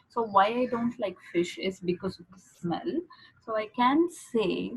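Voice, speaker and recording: Somewhat breathy and in a fairly high pitch, a woman with a non-native accent speaks at a fairly slow pace, with very wide pitch swings and big swings in loudness. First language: not English. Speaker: english exam tutor. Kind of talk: tutorial. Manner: halting.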